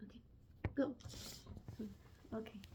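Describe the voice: A woman talks at a slow pace in a nervous tone, her intonation fairly even.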